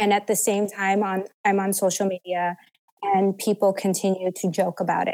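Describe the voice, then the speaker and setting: In a flat, monotone delivery, a woman at medium pitch speaks at a moderate pace with very even loudness. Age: 30s. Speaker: abuse survivor. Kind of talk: testimony.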